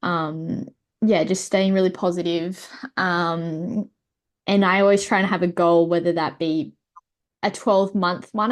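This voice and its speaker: A woman's fairly low voice with an Australian accent over a quiet background. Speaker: para-athlete guest. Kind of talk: casual chat. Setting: video call.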